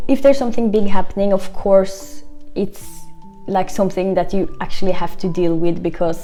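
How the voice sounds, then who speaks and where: Music plays in the background under a voice with ordinary pitch variation. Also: woman. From Norway. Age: 20s. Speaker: expat vlogger. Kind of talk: casual talk to camera.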